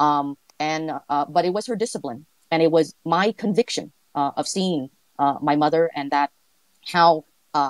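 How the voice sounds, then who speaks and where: A woman with a very deep, low voice speaks at a moderate pace with ordinary pitch variation and long, frequent pauses, in a dry, close sound with no echo. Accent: Vietnamese. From California, raised from age five; born in Vietnam. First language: Vietnamese. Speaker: entrepreneur, guest interviewee. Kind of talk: interview, casual chat. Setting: online audio space. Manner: halting, many fillers.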